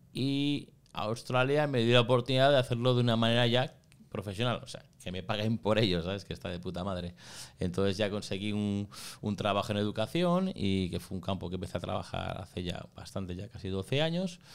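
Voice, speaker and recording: Speaking at a fairly quick pace, a man uses lively intonation in a fairly low pitch. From Spain. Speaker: school founder and migrant; podcast guest. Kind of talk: interview. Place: studio. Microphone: studio mic.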